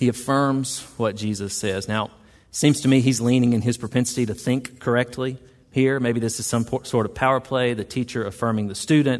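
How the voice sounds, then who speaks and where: With a quiet background, a man talks at a fairly quick pace in a Southern US accent. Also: medium pitch for a man, fairly even intonation. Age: 40s. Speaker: pastor. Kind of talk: sermon. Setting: church.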